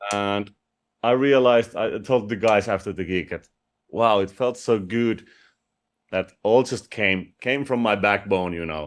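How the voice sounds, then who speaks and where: With a Finnish accent, a man speaks at a fairly slow pace with a fairly low pitch and ordinary pitch variation. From Finland. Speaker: rock vocalist. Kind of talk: interview.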